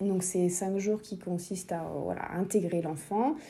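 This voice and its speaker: Very slow, somewhat breathy delivery with a dark, mellow tone. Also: woman. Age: 30s. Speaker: mother sharing experience. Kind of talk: recorded testimony.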